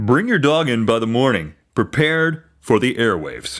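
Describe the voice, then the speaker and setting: Using a put-on character voice, a man at medium pitch makes very wide pitch swings while keeping his loudness very even. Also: moderate pace. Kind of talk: polished newscaster voice. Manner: smooth, professional.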